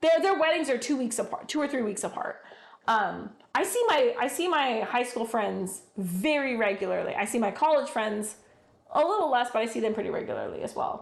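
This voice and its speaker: The voice is loud, with very wide pitch swings and a fairly quick pace. Noticeable background noise and audible room echo fill the recording. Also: woman, high pitch for a woman. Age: 40s. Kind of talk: casual chat.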